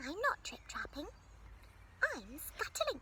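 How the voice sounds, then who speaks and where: A man does a put-on character voice at an extremely high pitch. He speaks fairly slowly over clear background noise. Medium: read story.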